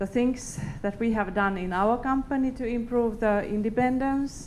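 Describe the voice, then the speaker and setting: A woman with a Finnish accent speaks at a moderate pace. Her intonation is fairly even, and room echo is audible. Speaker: company executive. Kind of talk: conference talk. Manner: halting.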